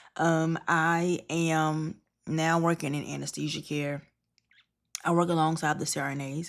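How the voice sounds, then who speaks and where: A woman's very deep, low voice in a monotone, flat intonation. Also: very clean recording, silent background. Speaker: registered nurse and vlogger. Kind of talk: casual vlog monologue. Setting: hotel room.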